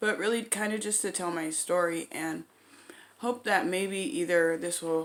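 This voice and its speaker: A woman talks at a fairly slow pace and medium pitch. Her voice is quiet, with ordinary pitch variation. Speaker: vlogger sharing recovery story. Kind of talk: storytime monologue. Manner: hesitant, many fillers.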